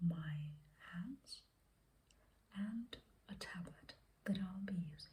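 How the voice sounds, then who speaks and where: Soft-spoken, this speaker goes along at a very slow pace. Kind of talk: ASMR art show-and-tell talk. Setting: close to microphone.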